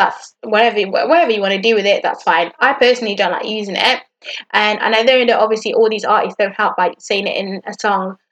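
The delivery has an animated tone, spoken with a northern English accent. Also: woman. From northern England. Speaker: podcast host. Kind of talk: casual chat.

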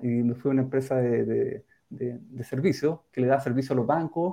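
Moving at a moderate pace, a man talks in a dark, mellow tone. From Valdivia, southern Chile. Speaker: fintech company co-founder. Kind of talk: interview.

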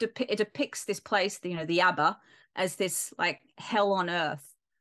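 Against a quiet background, a woman speaks with an Australian accent. Her tone is bright and sharp. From Perth, Western Australia. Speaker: film lecturer. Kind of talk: interview conversation. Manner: halting, many fillers.

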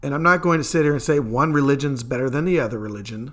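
A man speaks with a Kentucky accent at a very fast pace. His pitch is fairly high, with ordinary pitch variation. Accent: Kentucky Southern US. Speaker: paranormal podcast host. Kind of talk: solo podcast monologue.

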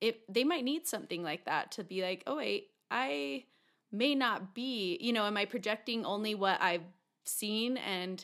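Speaking with an American accent in an ordinary speaking voice, a woman uses a fairly high pitch and lively intonation at a fairly slow pace, in a very clean recording with a silent background. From Utah. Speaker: podcast co-host. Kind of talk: casual interview chat.

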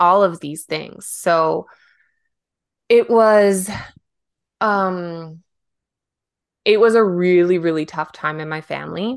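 Over a quiet background, a woman with a western Canadian accent speaks at a very slow pace and fairly low pitch, with long, frequent pauses, ordinary pitch variation and big swings in loudness. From Canada, Vancouver Island. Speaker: podcast co-host. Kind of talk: casual chat.

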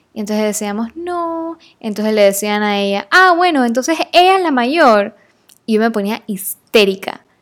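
A woman's animated, fairly high voice with very wide pitch swings. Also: moderate pace. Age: 20s. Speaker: podcast host. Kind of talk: casual monologue.

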